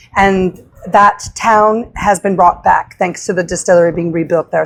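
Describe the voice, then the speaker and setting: A woman with an Irish accent, medium in pitch, at a moderate pace. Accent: sing-songy Irish-tinged. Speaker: bartender. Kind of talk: casual chat while mixing a cocktail. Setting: live recording at a bar during a conference.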